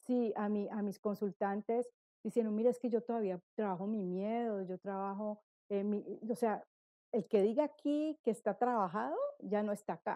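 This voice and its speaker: A woman speaks at a fairly high pitch in a dark, mellow tone with ordinary pitch variation. Her moderate pace comes through in a dry, close sound with no echo. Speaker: numerologist. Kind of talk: testimony. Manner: stutters.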